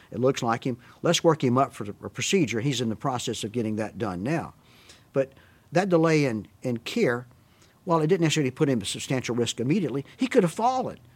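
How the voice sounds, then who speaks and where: Talking at a very fast pace, a man with a Southern US accent uses lively intonation at a medium pitch. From US South. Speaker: physician. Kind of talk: interview about prior authorization, conversational.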